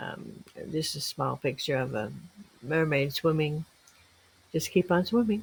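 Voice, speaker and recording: At a fairly slow pace, a woman with a very deep, low pitch talks with vocal fry. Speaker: crafts video maker. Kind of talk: tutorial. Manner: halting.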